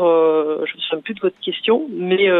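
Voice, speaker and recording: Her pitch is fairly low for a woman, and it varies in an ordinary way. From Provence-Alpes-Côte d'Azur, France. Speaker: sports federation director. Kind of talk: radio interview.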